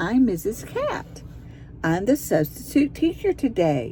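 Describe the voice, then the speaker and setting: Clear background noise behind a fairly slow, put-on character voice. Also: female-sounding voice. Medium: read story.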